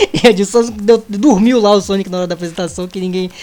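A man speaks at a fairly quick pace in a high voice. Music plays in the background. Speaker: gaming podcast co-host. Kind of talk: casual chat.

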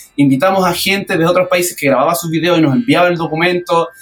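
Pitched high, a man's voice is heard through noticeable background noise. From Chile, Valparaíso region. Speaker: accordion festival organizer and musician. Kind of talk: radio interview.

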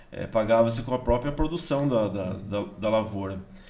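Audible room echo surrounds a man of medium pitch talking at a fairly quick pace. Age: 50s. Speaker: pastor and farmer. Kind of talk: casual interview, testimony. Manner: halting, with many repeated words.

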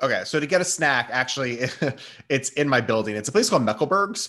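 Over a quiet background, a man with an unremarkable speaking voice talks at a fairly high pitch with lively intonation. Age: 30s. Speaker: food blogger and content creator. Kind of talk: casual chat.

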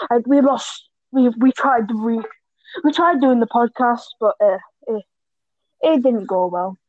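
This is a woman with a high voice. Her pitch varies in an ordinary way. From Sunderland, northeast England. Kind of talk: casual chat. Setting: video call.

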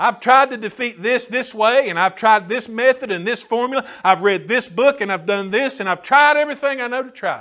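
A man's extremely high-pitched, animated voice, fairly quick, with ordinary pitch variation. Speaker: preacher. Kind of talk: sermon. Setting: church. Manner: animated, call-and-response preaching with frequent hallelujahs; rhythmic, emphatic, fervent delivery.

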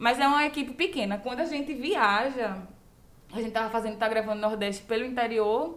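A woman's fairly high-pitched voice at a very fast pace, with ordinary pitch variation. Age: 20s. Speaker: comedy producer. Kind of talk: casual chat.

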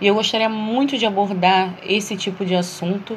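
At a fairly slow pace, a woman talks with fairly even intonation in a medium pitch. She has an ordinary speaking voice. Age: 40s. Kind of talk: solo monologue reflection.

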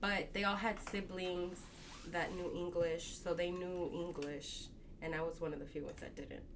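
A woman with a Spanish accent speaks at a moderate pace and a fairly low pitch. Her intonation is monotone and flat. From Texas, Dallas area (born Mexico, moved at 4). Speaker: tailor. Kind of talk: casual interview.

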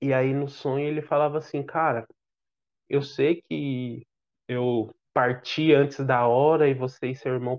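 Pitched at a medium level, a man speaks with monotone, flat intonation. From Brazil, São Paulo. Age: 30s. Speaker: father sharing life story. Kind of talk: podcast interview, personal testimony.

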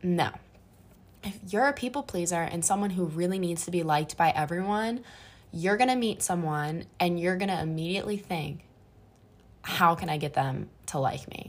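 A woman with a plain, everyday voice speaks at a moderate pace in a fairly low pitch. Her pitch varies in an ordinary way, and the recording is very clean with a silent background. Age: 20s. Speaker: solo podcaster, college student. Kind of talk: casual monologue. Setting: apartment bedroom.

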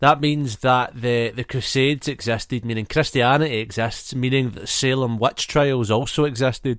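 An ordinary speaking voice from a man at medium pitch, moderate pace and ordinary pitch variation, with hardly any pauses, on a very clean recording with a silent background. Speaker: podcast host. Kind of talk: casual chat. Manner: joking, playful.

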